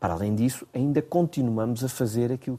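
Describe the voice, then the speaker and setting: In a very clean recording with a silent background, a man with a medium pitch and a dark, mellow tone talks at a moderate pace. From Portugal. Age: 50s. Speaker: business association director. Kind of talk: radio interview. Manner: hesitant, frequent fillers and repetitions.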